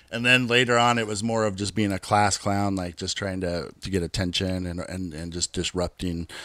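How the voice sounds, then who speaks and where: Over a very clean recording with a silent background, a man with a Californian accent speaks at a moderate pace with hardly any pauses. His pitch is very deep and low, his tone bright and sharp, and his intonation fairly even. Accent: Californian American. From California, Bay Area (Hayward). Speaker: thrash metal musician. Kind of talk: casual interview.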